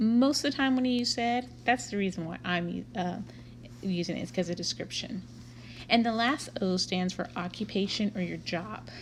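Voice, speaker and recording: A somewhat breathy woman's voice with a Texan accent, medium pitch, very wide pitch swings and a moderate pace. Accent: Texan American English. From Texas, Waco. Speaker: Spanish teacher. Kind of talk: lecture. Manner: casual.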